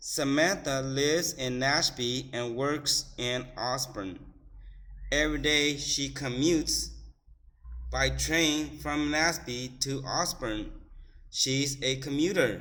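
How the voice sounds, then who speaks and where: A man speaks at a very slow pace in a fairly high voice. His intonation stays fairly even. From United States. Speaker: English teacher. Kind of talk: classroom reading lesson. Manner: slow, repetitive, instructional.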